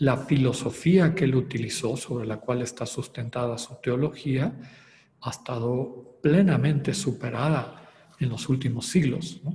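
Noticeable background noise underlies a man speaking at a medium pitch and fairly slow pace with ordinary pitch variation. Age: 60s. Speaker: spiritual retreat leader. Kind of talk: lecture.

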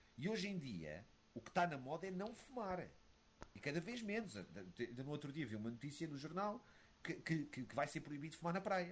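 Fairly high male voice with vocal fry, very wide pitch swings and a moderate pace. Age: 30s. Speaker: retired esports player. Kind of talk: casual interview.

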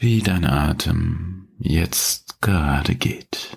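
A man speaks with a very deep, low pitch and vocal fry. His tone is calm and soothing, and his intonation is lively. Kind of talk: guided meditation. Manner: slow, calm, soothing, with long pauses; gentle, warm, addressing listener as du.

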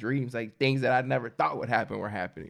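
Here is a man with an unremarkable speaking voice and an American accent. His pitch is medium and his intonation fairly even. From US Midwest, Michigan. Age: 20s. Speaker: barber. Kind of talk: casual chat.

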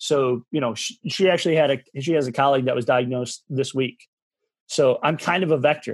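A man speaks fairly quickly with an American accent, his pitch fairly high and its variation ordinary. His tone is intense and energetic. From Michigan. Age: 40s. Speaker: massage therapist and movement coach. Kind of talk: casual interview. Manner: intense, energetic.

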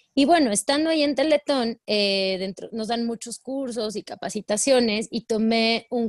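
In a plain, everyday voice, a woman talks at a moderate pace and a fairly high pitch with ordinary pitch variation and hardly any pauses, the sound dry and close with no echo over a quiet background. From Mexico, Puebla. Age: 30s. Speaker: life coach. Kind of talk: interview.

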